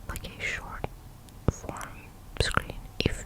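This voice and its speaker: Whispering over noticeable background noise. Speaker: ASMR creator. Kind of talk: ASMR whisper ramble to camera. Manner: close whispered, relaxing, rambling.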